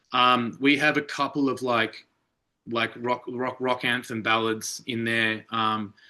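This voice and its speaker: At a fairly slow pace, a man talks in a bright, sharp tone at medium pitch. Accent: Australian. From Australia, Melbourne. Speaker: rock band lead singer. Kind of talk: interview. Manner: animated.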